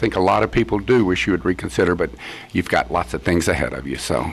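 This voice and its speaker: Speaking very fast, a man talks with a Texan accent. His pitch swings very widely. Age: 70s. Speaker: judge. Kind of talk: radio interview. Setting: studio. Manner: halting.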